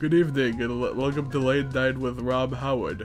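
A man does a nasal, put-on character voice at a medium pitch and a moderate pace. Clear music plays in the background. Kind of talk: talk show host.

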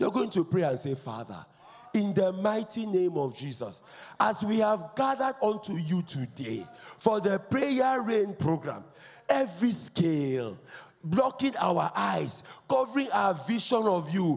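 A man's pitch swings very widely as he talks at a fairly slow pace. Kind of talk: led congregational prayer. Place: church. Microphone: handheld.

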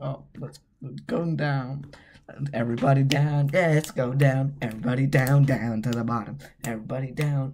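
Fairly even intonation in a natural reading voice.

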